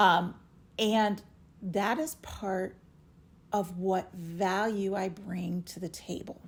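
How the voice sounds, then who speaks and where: Very slowly, a woman talks, leaving long, frequent pauses between her words. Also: medium pitch for a woman. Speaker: retired air force reservist. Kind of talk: podcast interview, casual chat. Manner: loud; enthusiastic.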